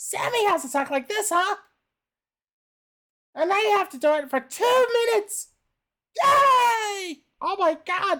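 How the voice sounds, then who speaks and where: This put-on character voice sits extremely high and sounds strained, moving at a fairly slow pace with long, frequent pauses. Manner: pained, reluctant.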